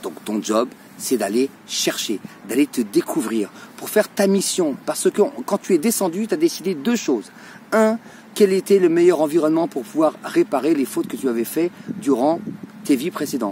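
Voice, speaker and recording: A man talks at a high pitch in an animated tone, with very wide pitch swings. His pace is moderate, broken by long, frequent pauses. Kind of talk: religious talk to camera.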